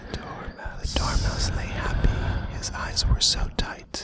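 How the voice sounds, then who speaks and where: Over noticeable background noise comes very slow whispering. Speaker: ASMR artist. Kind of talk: poetry reading. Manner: whispered, soft-spoken.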